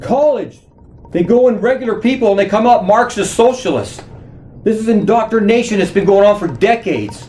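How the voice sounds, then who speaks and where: Against noticeable background noise, a man with an American accent speaks at a high pitch and moderate pace with ordinary pitch variation. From USA. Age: 60s. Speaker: political commentator on social media. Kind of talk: direct-to-camera monologue. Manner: animated.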